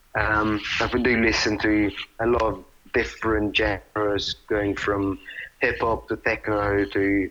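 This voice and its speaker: A man speaks at a very slow pace in a fairly low pitch. His tone is bright and sharp, with monotone, flat intonation. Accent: Italian. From Italy. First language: Italian. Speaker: rock drummer. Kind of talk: interview. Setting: phone call. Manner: halting, repeating words.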